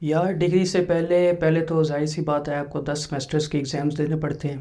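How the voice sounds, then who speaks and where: At a moderate pace, a man speaks in a fairly high pitch with a dark, mellow tone and monotone, flat intonation. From Pakistan, Kamalia, Punjab. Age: 20s. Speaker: newly graduated doctor. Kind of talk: interview. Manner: casual.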